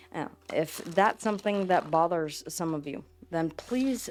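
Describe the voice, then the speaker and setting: A woman's fairly low voice in a Southern US accent, at a moderate pace, on a very clean recording with a silent background. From US South. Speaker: witchcraft and tarot content creator. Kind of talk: casual vlog talk to camera. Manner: halting, repeats words.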